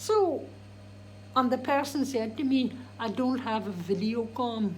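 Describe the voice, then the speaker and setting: In a room with audible echo, a woman speaks at a fairly slow pace in a high voice with ordinary pitch variation. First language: Irish. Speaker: DJ and vlogger. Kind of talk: casual vlog monologue. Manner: animated; halting.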